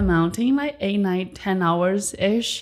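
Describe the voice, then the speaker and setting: A woman with a Chinese accent at a moderate pace. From rural China. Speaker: entrepreneur and podcast host. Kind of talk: interview. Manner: energetic.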